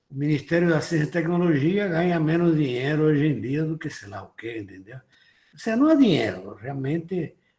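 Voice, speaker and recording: A man's fairly high voice with lively intonation, a moderate pace and big swings in loudness. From abroad, not Brazil. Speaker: IT industry association president. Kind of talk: lecture.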